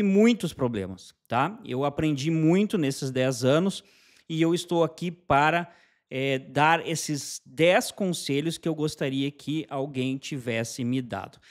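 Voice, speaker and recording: The background stays quiet. Against it, a man talks very slowly. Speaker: channel host. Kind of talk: casual vlog chat. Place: home room. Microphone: studio mic.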